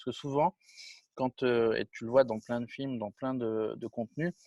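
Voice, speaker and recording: A man speaks fairly quickly. His voice sounds dry and close, without any echo. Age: 40s. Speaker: film director and producer. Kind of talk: interview. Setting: video call. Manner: casual, with many hesitations.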